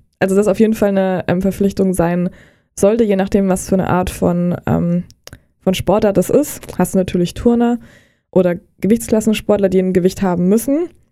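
A woman's dark, mellow tone at a fairly quick pace, with fairly even intonation and very even loudness. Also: medium pitch for a woman. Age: 20s. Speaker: nutrition coach. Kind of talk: casual interview. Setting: studio.

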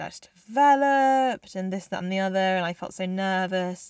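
On a very clean recording with a silent background, a woman speaks at a moderate pace, her medium pitch showing ordinary variation. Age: 20s. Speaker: music student and podcast co-host. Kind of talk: casual chat. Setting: home recording, mic under a desk with a duvet.

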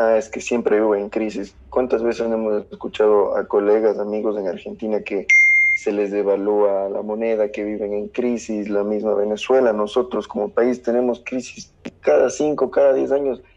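A man speaks at a moderate pace in a medium pitch. His intonation is fairly even, with noticeable background noise behind him. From southern Ecuador. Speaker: economist. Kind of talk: casual chat.

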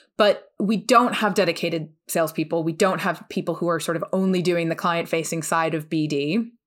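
A woman with a New Jersey accent, fairly quick and hardly pausing, fairly even intonation, very clean recording with a silent background. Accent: American, New Jersey. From US, New Jersey. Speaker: law firm business development head, former litigator. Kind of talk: podcast interview.

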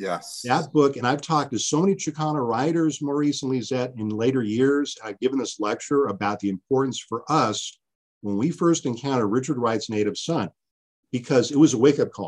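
Speaking with an American accent, a man has an ordinary speaking voice at a medium pitch. He goes at a fairly quick pace with ordinary pitch variation. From US West Coast, California East Bay. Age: 50s. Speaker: history professor. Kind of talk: interview.

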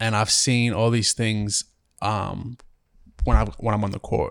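A man with an Australian accent talks at a medium pitch on a very clean recording with a silent background. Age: 20s. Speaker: professional basketball player. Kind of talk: casual chat.

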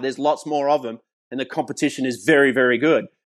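Against a quiet background, a man talks very fast in a fairly high pitch. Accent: Australian. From Australia, New South Wales. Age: 40s. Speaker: professional golfer. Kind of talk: interview.

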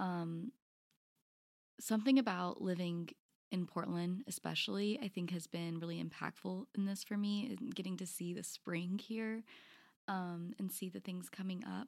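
A woman with an ordinary speaking voice and an American accent, medium pitch, ordinary pitch variation and a moderate pace, in a dry, close sound with no echo. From College Station, Texas. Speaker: spiritual director, seminary graduate. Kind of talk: interview-style podcast conversation.

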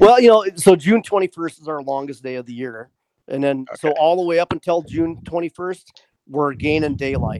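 A man with an American accent speaks at a fairly quick pace, fairly high in pitch, with lively intonation and big swings in loudness. The sound is dry and close, with no echo. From US Midwest, rural northeast Iowa. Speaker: waterfowl hunter, army veteran. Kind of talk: casual chat.

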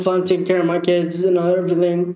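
Speaking at a moderate pace, a man uses a high pitch. His intonation is monotone and flat. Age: 20s. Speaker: accident survivor and father. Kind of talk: casual chat. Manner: slurred speech from injury.

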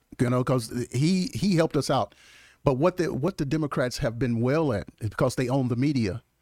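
A man talks at a fairly quick pace with a Mississippi accent. The recording is very clean and dry, close-miked with no echo over a silent background. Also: medium pitch for a man, ordinary pitch variation. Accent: Southern US (Mississippi). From US South, Mississippi. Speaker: congressional candidate, pastor, former NFL player. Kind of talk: casual interview. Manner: animated.

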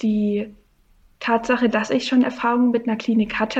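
A woman talks at a moderate pace with a fairly high pitch and monotone, flat intonation. The background is quiet. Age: 20s. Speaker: coaching client. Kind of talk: interview. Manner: halting.

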